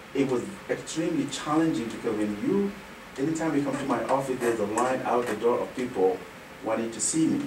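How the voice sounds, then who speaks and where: A man's fairly quick, lively-toned speech amid noticeable background noise and audible room echo. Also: medium pitch for a man. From Senegal. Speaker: nonprofit executive director. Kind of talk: radio interview.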